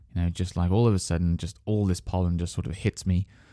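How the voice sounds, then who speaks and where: On a very clean recording with a silent background, a man with a British accent speaks at a very deep, low pitch in a dark, mellow tone. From England. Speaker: podcast host, English teacher. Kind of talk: educational podcast monologue. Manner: hesitant, many fillers.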